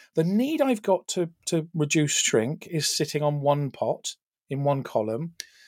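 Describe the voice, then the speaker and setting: Recorded very cleanly with a silent background, a man with a British accent speaks fairly slowly, his fairly high voice carrying lively intonation. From England. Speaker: retail tech executive and author. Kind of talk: casual interview chat.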